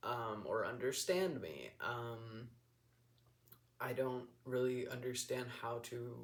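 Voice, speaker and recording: Audible room echo surrounds a man whose medium pitch comes out somewhat breathy. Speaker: vlogger. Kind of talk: casual personal vlog monologue. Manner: monotone; mumbling, hesitant with many ums.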